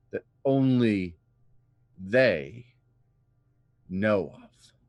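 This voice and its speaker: Using a put-on character voice, a man speaks at a very slow pace with lively intonation. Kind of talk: campfire horror storytelling. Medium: game stream. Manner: grave, measured.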